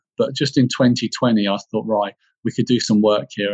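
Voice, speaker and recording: A man with a southern English accent speaks at a medium pitch. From England, Bedfordshire. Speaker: leadership development professional. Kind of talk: interview.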